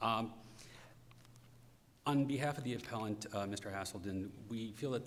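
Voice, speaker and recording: Amid noticeable background noise and audible room echo, a man with a fairly low voice talks at a fairly quick pace with fairly even intonation. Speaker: lawyer. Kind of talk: courtroom oral argument. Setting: courtroom. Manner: fast.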